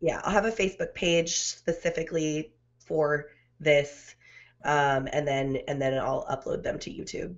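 The background is quiet. A plain, everyday voice speaks at a moderate speed, its pitch varying in an ordinary way. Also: woman. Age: 30s. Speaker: podcaster. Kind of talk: casual chat. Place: home room. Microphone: studio mic.

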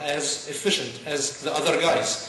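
The clip carries audible room echo along with light background noise. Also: man. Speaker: conference speaker. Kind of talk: talk to an audience. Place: stage.

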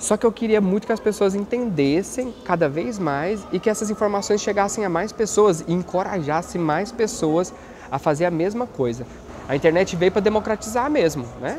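Over light background noise, a man with a high pitch speaks with lively intonation. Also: moderate pace. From Brazil. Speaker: YouTuber and HIV activist; YouTuber. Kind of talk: documentary testimony. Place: hall. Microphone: lapel.

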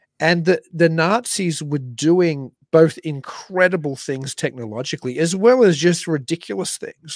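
With an Australian accent, a man talks at a fairly high pitch and moderate pace with lively intonation and big swings in loudness. The sound is dry and close with no echo. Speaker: podcast co-host. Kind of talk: casual chat.

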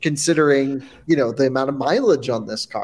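The man's delivery has ordinary pitch variation. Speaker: podcast co-host. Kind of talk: casual podcast chat. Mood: amused, laughing. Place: office. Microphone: video call.

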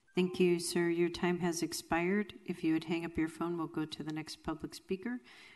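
Over music in the background, a woman with a fairly low pitch speaks at a moderate pace with fairly even intonation. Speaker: city clerk. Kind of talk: formal meeting proceedings. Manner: formal. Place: hall. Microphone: podium.

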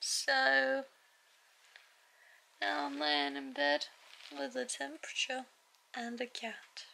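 A woman with a tired tone at a very slow pace, over light background noise. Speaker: vlogger. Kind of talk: casual vlog chat. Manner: weak, tired sick-day voice. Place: home room. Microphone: phone near.

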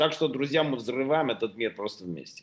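Over a quiet background, a man is talking. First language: Russian (speaking Spanish). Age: 40s. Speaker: company CEO. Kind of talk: business presentation. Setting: video call. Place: home room. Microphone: video call.

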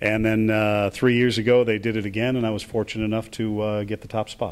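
A man rattles along at a very fast pace in a flat, monotone intonation. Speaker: baseball stadium public address announcer. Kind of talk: interview answer. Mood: warm, reflective.

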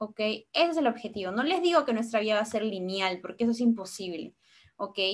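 Against a quiet background, the speaker moves at a fairly quick pace with lively intonation. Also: woman, fairly high pitch for a woman. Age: 20s. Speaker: medical student and nutrition content creator; nutrition content creator. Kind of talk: online lecture.

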